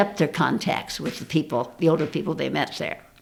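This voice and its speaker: A woman with vocal fry talks at a fairly quick pace, her fairly low pitch showing ordinary variation. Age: 80s+. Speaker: elderly mountain climber and scholarship foundation founder. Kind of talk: interview. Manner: halting.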